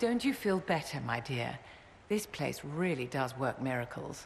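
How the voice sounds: Putting on a character voice, a woman speaks at an extremely low pitch with vocal fry, big pitch swings, and a fairly slow pace.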